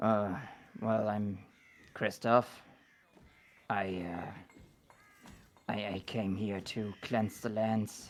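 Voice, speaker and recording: In a put-on character voice, a man mumbles at a fairly low pitch with monotone, flat intonation, a very slow pace and long, frequent pauses. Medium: actual play. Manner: mumbling.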